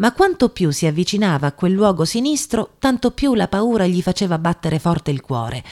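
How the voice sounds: The voice reads naturally. Its intonation is lively.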